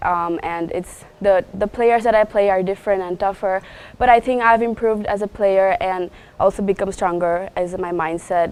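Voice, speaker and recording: Speaking at a moderate pace, a woman has an unremarkable speaking voice, medium pitch and ordinary pitch variation. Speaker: college tennis player. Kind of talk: interview.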